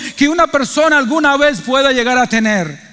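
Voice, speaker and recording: Over noticeable background noise, a man projects a raised voice at an extremely high pitch with ordinary pitch variation. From Cuba. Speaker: pastor. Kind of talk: sermon. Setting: church.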